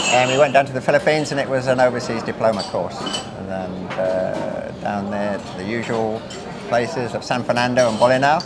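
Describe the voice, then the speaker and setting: A man at a medium pitch and fairly quick pace, with ordinary pitch variation, audible room echo and noticeable background noise. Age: 60s. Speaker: retired sea captain. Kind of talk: interview reminiscence. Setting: informal dinner gathering. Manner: hesitant with repetitions.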